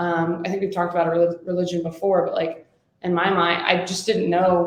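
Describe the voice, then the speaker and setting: A woman's fairly low voice at a fairly quick pace, with monotone, flat intonation and audible room echo. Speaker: podcast co-host. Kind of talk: casual chat. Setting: in person together. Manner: fast talker.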